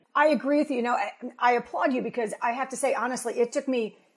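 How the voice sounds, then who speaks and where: Loud and high-pitched, a woman talks at a fairly quick pace with ordinary pitch variation against a quiet background. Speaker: podcast host, career coach. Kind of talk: interview. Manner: fast, loud; high energy, emotive.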